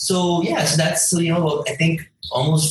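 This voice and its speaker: A fairly high-pitched man with a Canadian accent, amid noticeable background noise. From Canada, Toronto. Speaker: cryptocurrency company founder. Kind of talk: interview.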